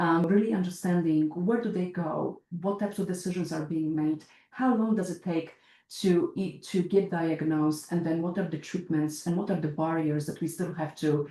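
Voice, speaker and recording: Fairly even intonation with a Polish accent. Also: woman. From Poland. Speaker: healthcare researcher. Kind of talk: podcast interview. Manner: hesitant, many fillers.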